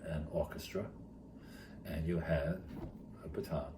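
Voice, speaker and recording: With an American accent, a man talks at a fairly slow pace in a very deep, low voice, with audible room echo and noticeable background noise. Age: 70s. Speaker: retired teacher and charity founder. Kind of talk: interview storytelling. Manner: halting.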